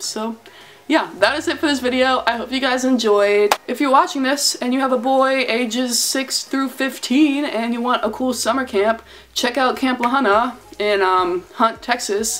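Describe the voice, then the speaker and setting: A woman with an American accent talks at a moderate pace in a high pitch. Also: ordinary pitch variation. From US, Delaware. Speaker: YouTuber. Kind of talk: vlog-style casual monologue. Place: home room. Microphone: phone near.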